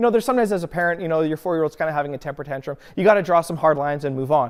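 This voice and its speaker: A man's animated, fairly high voice at a very fast pace, with lively intonation, in a very clean recording with a silent background. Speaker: pastor. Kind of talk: sermon. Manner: loud.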